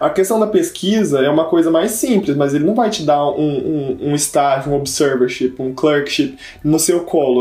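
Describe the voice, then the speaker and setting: Over noticeable background noise, a man talks at a moderate pace. His pitch is fairly high, with ordinary pitch variation. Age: 20s. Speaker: medical student. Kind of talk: casual chat.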